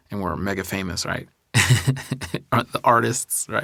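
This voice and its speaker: A man's voice sits very deep and low, with a bright, sharp tone and vocal fry. His pitch variation is ordinary. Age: 30s. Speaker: podcast host. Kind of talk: solo podcast monologue. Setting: recording studio. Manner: casual, halting with restarts.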